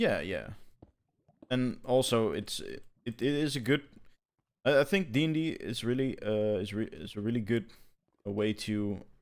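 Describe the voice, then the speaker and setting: A man speaks with a non-native accent at a medium pitch. His intonation is lively, and he leaves long, frequent pauses. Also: moderate pace. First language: not English. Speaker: gaming podcast co-host. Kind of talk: casual chat. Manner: halting, many repetitions.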